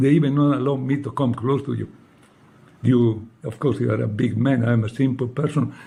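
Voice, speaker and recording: With an Italian accent, a man speaks in a medium pitch with ordinary pitch variation, a dark, mellow tone and vocal fry. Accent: non-native English, Italian. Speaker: former monk. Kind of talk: personal appeal. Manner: emotional.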